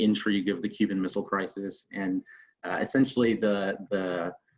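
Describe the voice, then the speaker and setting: A man with a Northern Virginia accent speaks at a moderate pace in a fairly low voice, his intonation flat and monotone. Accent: American, Northern Virginia. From Northern Virginia, US. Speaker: military special operations officer. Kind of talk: personal talk to online audience. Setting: video call. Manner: halting, many fillers.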